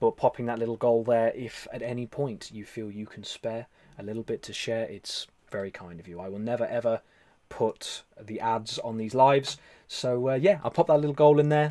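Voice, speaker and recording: In an English Midlands accent, a man speaks at a moderate pace and medium pitch, with a dark, mellow tone, ordinary pitch variation and big swings in loudness. The recording is very clean with a silent background, and the sound is dry and close with no echo. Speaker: live stream host and meditation leader. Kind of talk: casual live stream chat reading comments.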